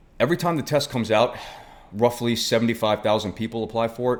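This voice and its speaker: This man speaks with a Brooklyn accent. His pitch varies in an ordinary way. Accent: New York (Brooklyn). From New York City (Brooklyn). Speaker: former firefighter turned ministry worker. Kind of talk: personal testimony. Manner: casual, conversational.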